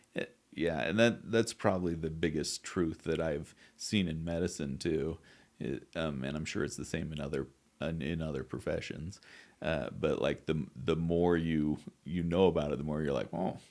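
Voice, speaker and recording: This man has an American accent and a very deep, low voice with vocal fry and ordinary pitch variation. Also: moderate pace. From US West (southeast Idaho). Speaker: wound care therapist. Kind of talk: podcast interview. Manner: halting.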